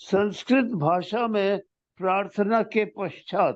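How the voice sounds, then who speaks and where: A man's high voice with ordinary pitch variation. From India, Uttar Pradesh. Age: 90s. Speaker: retired army officer. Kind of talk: reading aloud. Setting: interview. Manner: halting.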